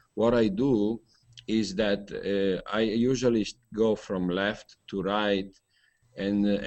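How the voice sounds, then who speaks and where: A man with an Italian accent speaks at a fairly low pitch in a monotone, flat delivery. The background is quiet. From Italy. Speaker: hangout participant, interviewer. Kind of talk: group video chat discussion. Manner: halting, many fillers.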